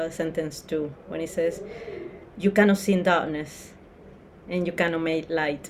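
There is noticeable background noise as a woman speaks at a fairly low pitch. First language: not English. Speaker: spiritual teacher leading study group. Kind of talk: group lesson discussion. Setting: video call.

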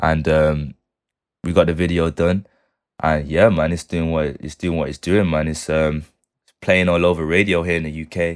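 A man's very deep, low voice, monotone and flat in intonation yet with big swings in loudness, at a moderate pace on a very clean recording with a silent background. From Manchester, England. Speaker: music producer and multi-instrumentalist. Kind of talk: casual interview chat.

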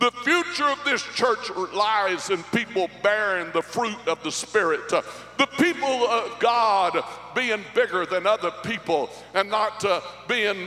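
The voice is raised and projected, with lively intonation at a fairly slow pace. Noticeable background noise sits behind it. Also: man. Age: 50s. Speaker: pastor. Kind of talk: sermon. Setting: church.

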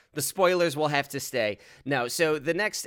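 Over a silent background on a very clean recording, a man with a plain, everyday voice speaks at a fairly quick pace and a fairly high pitch, with ordinary pitch variation. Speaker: podcast host and game master. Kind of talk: casual chat.

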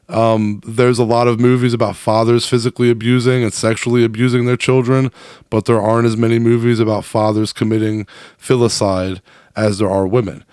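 Here a man speaks at a fairly quick pace with a medium pitch. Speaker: podcast host. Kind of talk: casual comedic chat and interview. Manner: animated, joking.

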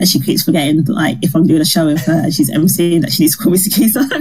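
A woman speaks in a somewhat breathy voice with fairly low pitch and ordinary pitch variation. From Barbados. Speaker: stand-up comedian. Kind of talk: casual interview.

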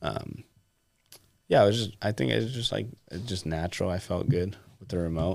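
A man with an American accent talks at a fairly quick pace in a very deep, low pitch, with vocal fry, lively intonation, big swings in loudness, and long, frequent pauses. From California. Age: 20s. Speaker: RC car racer. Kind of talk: casual chat. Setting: studio.

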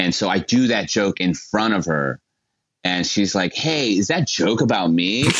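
Here a man uses an ordinary speaking voice at a fairly low pitch and a moderate pace. His intonation is lively and his loudness very even. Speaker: comedian. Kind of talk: comedy interview chat.

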